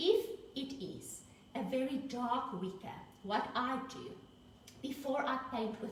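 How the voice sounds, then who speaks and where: Audible room echo surrounds a woman speaking at a high pitch with a South African accent. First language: Afrikaans. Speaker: paint brand presenter and art teacher. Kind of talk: live tutorial demonstration.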